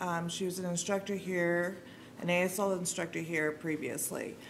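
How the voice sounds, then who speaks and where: Audible room echo hangs around the recording. A woman's intonation stays fairly even. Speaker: sign language interpreter voicing a deaf commenter. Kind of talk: interpreted public comment. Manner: hesitant, many fillers.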